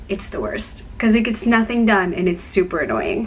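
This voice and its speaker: A woman with a medium pitch talks while noticeable background noise is present. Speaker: YouTuber with a chronic illness. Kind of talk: casual vlog talk. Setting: dorm room.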